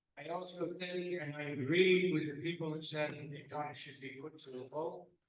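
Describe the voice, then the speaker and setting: A man's fairly high voice with ordinary pitch movement, a moderate pace and audible room echo. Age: 80s+. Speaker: resident speaking at public comment. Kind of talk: public comment at town council meeting.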